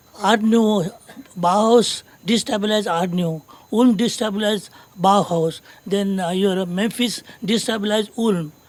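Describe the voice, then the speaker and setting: Noticeable noise is audible in the background. The delivery moves at a moderate speed. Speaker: design professor, panelist. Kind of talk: panel discussion. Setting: stage with audience. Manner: halting.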